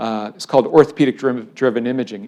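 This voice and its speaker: A plain, everyday voice: a man with an American accent, medium pitch, fairly even intonation and a fairly quick pace, on a very clean recording with a silent background. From US Midwest (Cleveland, Ohio suburbs). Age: 60s. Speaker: engineering professor. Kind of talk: public lecture.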